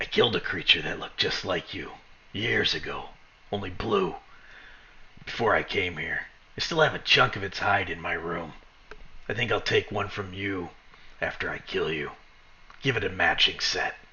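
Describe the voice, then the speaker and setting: In a put-on character voice, a man whispers in a raspy, menacing tone at a moderate pace, leaving long, frequent pauses. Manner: menacing whisper; gloating.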